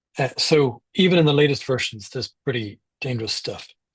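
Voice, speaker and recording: The voice is somewhat breathy, with an Irish accent. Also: man. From Ireland. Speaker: privacy campaigner and speaker. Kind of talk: talk with slides. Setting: live online event.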